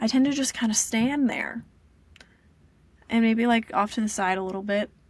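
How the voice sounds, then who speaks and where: A woman with a somewhat breathy voice speaks at a moderate pace, her intonation fairly even. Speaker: vlogger sharing personal life. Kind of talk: casual vlog monologue. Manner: flat intonation, little fluctuation; hesitant, many fillers.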